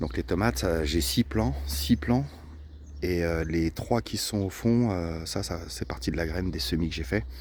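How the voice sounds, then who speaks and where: A soft-spoken man with a very deep, low voice and vocal fry speaks at a moderate pace with lively intonation. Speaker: vlogger gardener. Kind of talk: casual vlog walkthrough. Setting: outdoors in garden. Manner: hesitant, many fillers.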